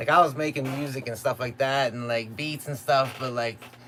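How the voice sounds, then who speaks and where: Here is a man with a plain, everyday voice at medium pitch. He speaks at a moderate pace with ordinary pitch variation. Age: 30s. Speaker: beatmaker streamer. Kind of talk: live stream casual chat. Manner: casual, laid-back.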